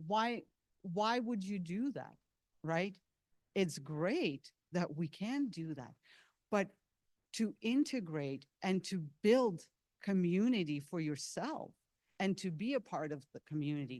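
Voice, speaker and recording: Very slowly, a woman of medium pitch speaks with a non-native accent and long, frequent pauses. Her pitch swings very widely. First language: not English. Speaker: seminar presenter. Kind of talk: lecture.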